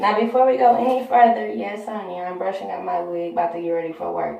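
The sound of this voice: Vocal fry runs through a dark, mellow tone at a fairly quick pace, with strong room echo around it. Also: woman.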